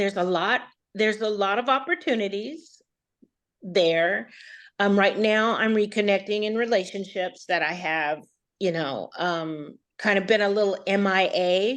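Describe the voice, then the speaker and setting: A woman's medium-pitched voice with ordinary pitch variation, over a quiet background. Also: fairly slow pace. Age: 60s. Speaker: coaching participant. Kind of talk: interview. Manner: halting.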